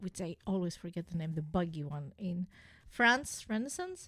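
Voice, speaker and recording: A woman speaks with a non-native accent at a moderate pace, her pitch varying in an ordinary way. The recording is very clean, with a silent background. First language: not English. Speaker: gaming streamer. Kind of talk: casual live stream chat. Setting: live stream. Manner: halting, many fillers.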